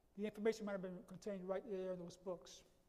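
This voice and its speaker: A man with a New York accent, a high pitch, a dark, mellow tone and fairly even intonation. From New York City, the Bronx. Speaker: lecturer. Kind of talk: lecture. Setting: auditorium with audience. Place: hall.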